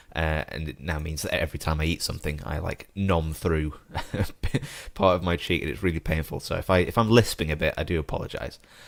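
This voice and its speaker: A man speaks at a very fast pace in a British accent. His very deep, low voice keeps a fairly even intonation. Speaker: podcast host. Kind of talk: casual chat.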